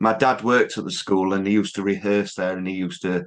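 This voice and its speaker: Against a quiet background, a man with a Yorkshire accent and a fairly low pitch speaks at a fairly quick pace. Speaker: music interviewer. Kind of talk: interview.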